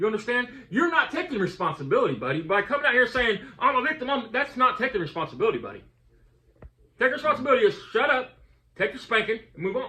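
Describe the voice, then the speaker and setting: A man's raised, projected voice, very fast, with lively intonation. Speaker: YouTuber. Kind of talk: heated debate. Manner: halting.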